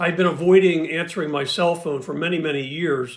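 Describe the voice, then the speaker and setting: A man talks at a moderate pace in a normal speaking voice with ordinary pitch variation, on a very clean recording against a silent background. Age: 60s. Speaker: patient with hearing loss giving testimony. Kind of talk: prepared testimony.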